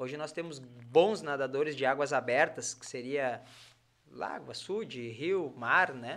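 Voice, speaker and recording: An unremarkable speaking voice goes at a fairly slow pace with ordinary pitch variation. Its loudness swings widely. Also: man, fairly high pitch for a man. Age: 30s. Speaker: triathlete and physiotherapist. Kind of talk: casual chat.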